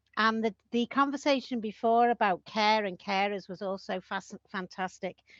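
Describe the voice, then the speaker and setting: This speaker has a Liverpool accent, ordinary pitch variation and a fairly slow pace. The sound is dry and close with no echo, over a quiet background. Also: woman. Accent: Liverpool (Scouse). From Liverpool, England. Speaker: community land trust representative. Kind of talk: conference talk over video call. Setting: video call.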